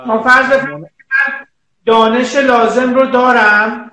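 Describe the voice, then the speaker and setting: A man's raised, projected voice with fairly even intonation. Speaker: publisher host. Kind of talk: live Instagram interview. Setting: video call live stream. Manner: formal polite.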